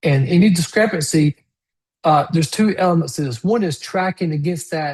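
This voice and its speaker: With a plain, everyday voice, a man speaks at a fairly quick pace, his pitch fairly high with ordinary pitch variation. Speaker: webinar presenter on smart streetlighting software. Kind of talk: webinar presentation. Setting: online webinar on Zoom.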